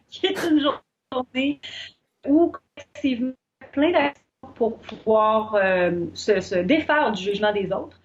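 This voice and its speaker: In a Quebec accent, the speaker goes at a very slow pace with long, frequent pauses and very wide pitch swings. The sound is dry and close with no echo. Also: woman, fairly high pitch for a woman. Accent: Québécois French. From Quebec, Shawinigan. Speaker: business coach. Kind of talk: interview.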